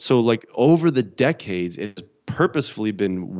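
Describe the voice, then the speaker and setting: A man with an American accent and lively intonation, a normal speaking voice at a moderate pace. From Chicago suburbs. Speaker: biblical scholar. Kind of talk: casual interview.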